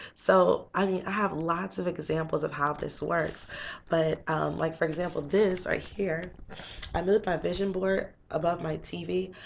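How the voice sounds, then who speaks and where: A woman's fairly low voice with vocal fry and fairly even intonation. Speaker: motivational vlogger. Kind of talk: casual vlog talk. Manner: fast.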